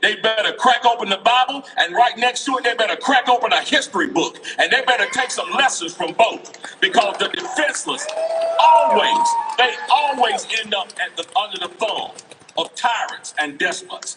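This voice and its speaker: A man speaks at an extremely high pitch in a raised, projected voice, his pitch swinging very widely. His pace is moderate, with music in the background. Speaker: political speaker at a rally. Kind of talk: impassioned rally speech. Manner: loud; animated.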